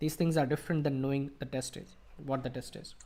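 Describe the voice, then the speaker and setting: A man is speaking. He has an Indian accent. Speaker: IELTS coach. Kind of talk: live Q&A teaching session. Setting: online video call, live stream.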